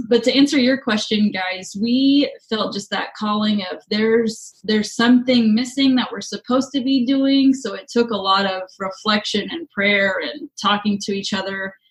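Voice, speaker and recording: With a normal speaking voice, this speaker moves at a moderate pace with ordinary pitch variation and hardly any pauses. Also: woman, fairly high pitch for a woman. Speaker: high school teacher and podcast co-host. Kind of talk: casual chat.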